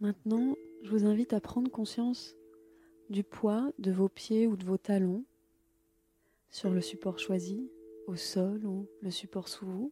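A woman speaks very slowly at a medium pitch in a calm, soothing tone, with long, frequent pauses and a dry, close sound with no echo. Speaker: yoga nidra teacher. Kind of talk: guided meditation. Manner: slow, calm, soothing, unhurried; gentle, measured, with long pauses.

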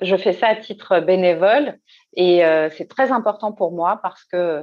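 A woman speaks in a plain, everyday voice. Her pitch is medium, with ordinary variation. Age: 40s. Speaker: career coach. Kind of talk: interview.

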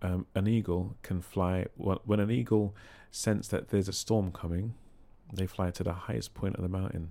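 In a very clean recording with a silent background, a man speaks in a calm tone with a very deep, low pitch and ordinary pitch variation. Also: moderate pace. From London. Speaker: singing therapist and choir leader. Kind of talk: casual interview chat. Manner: calm, sometimes humorous.

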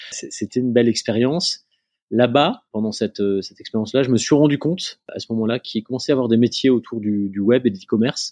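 A man with a medium-pitched voice and a dark, mellow tone talks at a fairly quick pace with ordinary pitch variation, the sound dry and close with no echo over a quiet background. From northern France, near Lille. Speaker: family business executive and entrepreneur. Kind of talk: interview. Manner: hesitant, many fillers and repetitions.

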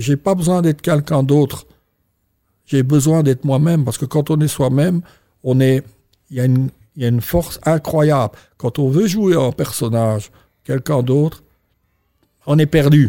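With a dark, mellow tone and a fairly high pitch, a man speaks at a moderate pace with ordinary pitch variation, very even loudness and long, frequent pauses. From Belgium. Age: 60s. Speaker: entrepreneur. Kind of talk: interview. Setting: hotel interview room. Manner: halting.

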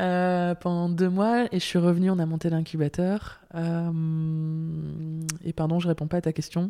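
Speaking at a very slow pace with hardly any pauses, a woman holds a fairly low pitch in a flat, monotone delivery. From northern France, Lille. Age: 30s. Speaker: impact finance platform director. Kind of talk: interview conversation.

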